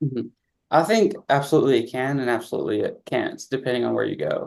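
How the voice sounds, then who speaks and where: Speaking at a very fast pace, a man has a slight Southern US accent. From Southeast Missouri, Campbell. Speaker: pre-med student. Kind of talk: interview.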